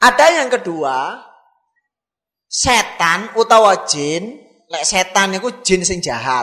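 A man with a high, bright, sharp voice projects loudly at a very slow pace, his pitch swinging very widely. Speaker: Islamic preacher. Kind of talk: sermon.

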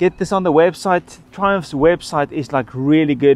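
A man speaks with a high pitch. The sound is dry, with no echo. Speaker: motorcycle vlogger. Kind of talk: casual review talk. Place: street.

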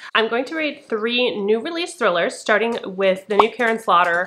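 A woman talks at a moderate pace with lively intonation. Light background noise sits behind her. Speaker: book vlogger. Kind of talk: casual vlog chat. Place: home room.

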